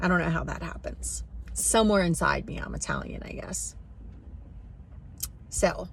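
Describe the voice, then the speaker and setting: An animated woman at a moderate pace, with audible room echo. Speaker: vlogger and wellness coach. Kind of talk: casual monologue vlog.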